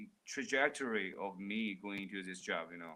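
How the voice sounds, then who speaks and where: The man's voice sits fairly low and carries a bright, sharp tone. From China. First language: Mandarin. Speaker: livestreamer. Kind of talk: live stream chat reading comments. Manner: casual, animated; halting, stuttering starts.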